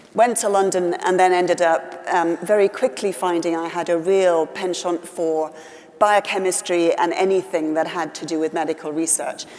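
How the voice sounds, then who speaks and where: Against noticeable background noise, a woman with a Welsh accent and a fairly low pitch talks at a moderate pace with fairly even intonation. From West Wales. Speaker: politician. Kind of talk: interview.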